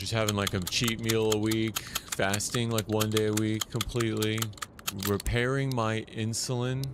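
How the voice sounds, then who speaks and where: With an American accent, this voice moves at a moderate pace in a monotone, flat delivery at very even loudness, with noticeable background noise behind it. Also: man, medium pitch for a man. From United States. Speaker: gaming streamer. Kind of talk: casual chat. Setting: live stream.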